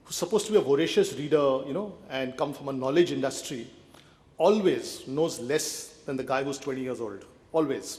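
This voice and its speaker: A man speaks at a fairly quick pace in a fairly high pitch with ordinary pitch variation. Audible room echo can be heard around him. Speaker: conference speaker. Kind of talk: conference talk.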